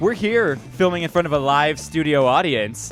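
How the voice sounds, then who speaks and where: Music plays in the background as a man talks with lively intonation. His pitch is fairly high. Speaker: podcast host. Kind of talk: casual podcast banter.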